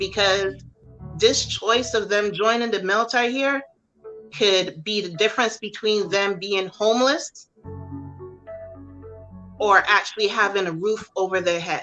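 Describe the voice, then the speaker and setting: Over music in the background, the voice moves at a fairly slow pace with long, frequent pauses and ordinary pitch variation. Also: woman, medium pitch for a woman. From Barbados. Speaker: army drill sergeant, military veteran. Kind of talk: interview answer. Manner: firm, direct.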